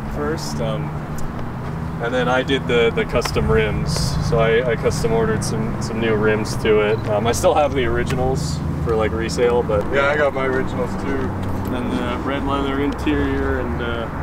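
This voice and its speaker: At a moderate pace, the speech comes through dry with no echo against loud background noise. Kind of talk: casual chat showing off his car. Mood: enthusiastic, proud. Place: street. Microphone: camera far.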